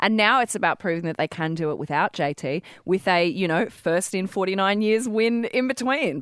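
A woman's medium-pitched voice with an Australian accent and lively intonation, in a dry, close sound with no echo. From Wollongong, New South Wales. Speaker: radio sports show co-host. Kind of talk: casual radio banter. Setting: radio studio.

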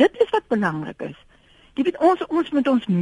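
A woman's voice moves in very wide pitch swings. The sound is dry and close, without echo. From South Africa. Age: 70s. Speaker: radio caller. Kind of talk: casual chat. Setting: phone call.

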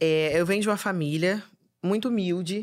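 An energetic tone with ordinary pitch variation comes at a moderate pace on a very clean recording with a silent background. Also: woman. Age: 20s. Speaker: comedian and influencer. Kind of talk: casual chat.

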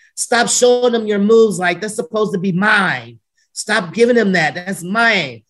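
A woman with a medium pitch and ordinary pitch variation talks at a moderate pace in a normal speaking voice. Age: 40s. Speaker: retired pro wrestler and wrestling school owner. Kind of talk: casual interview chat. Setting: video call.

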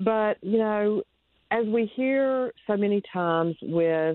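Here is a woman with a North Carolina accent. Her intonation is lively. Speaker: Gold Star mother and advocate. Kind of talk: interview testimony. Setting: remote call.

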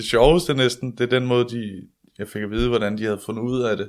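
A man talks in a normal speaking voice with fairly even intonation. The recording is very clean, with a silent background. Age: 20s. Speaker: comedian. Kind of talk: interview about illness.

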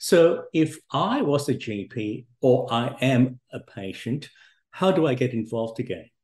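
Speaking fairly slowly, a man with a medium-pitched, somewhat breathy voice uses lively intonation. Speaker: podcast host and doctor. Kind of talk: interview.

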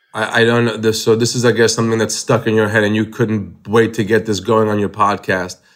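In a very clean recording with a silent background, a man with an American accent speaks at a fairly low pitch and a fairly quick pace in a monotone, flat intonation with hardly any pauses. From Long Island, New York, Israeli-born. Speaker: stand-up comedian. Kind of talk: interview.

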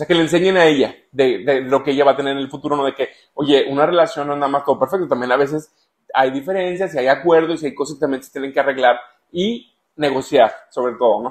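A man with a fairly high voice talks very fast, his volume swinging widely from loud to soft. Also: ordinary pitch variation. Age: 30s. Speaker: father, food industry worker. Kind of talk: interview.

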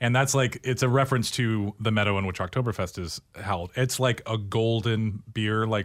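A plain, everyday voice speaks at a fairly quick pace with fairly even intonation, on a very clean recording with a silent background. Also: man. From Oregon (Tualatin). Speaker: head brewer. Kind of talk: casual chat.

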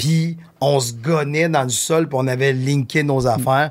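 A male speaker's voice sits fairly high, with ordinary pitch variation. The audio is spotless, and nothing is heard behind him. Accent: Quebec. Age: 50s. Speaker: talent manager. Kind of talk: casual chat.

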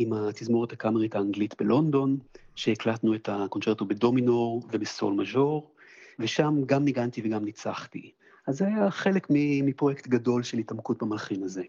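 In an ordinary speaking voice, a man talks at a moderate pace with a medium pitch and ordinary pitch variation. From Israel, Jerusalem. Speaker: pianist and conductor. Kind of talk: interview.

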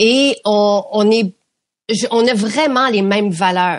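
A woman has an ordinary speaking voice at a medium pitch with ordinary pitch variation. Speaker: beauty products company founder. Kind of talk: interview.

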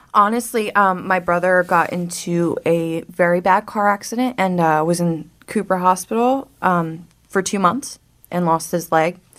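In a normal speaking voice, a woman talks at a fairly slow pace and a medium pitch with ordinary pitch variation, on a very clean recording with a silent background. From South Jersey, US. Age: 20s. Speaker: person in addiction recovery. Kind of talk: interview, personal testimony. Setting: radio studio.

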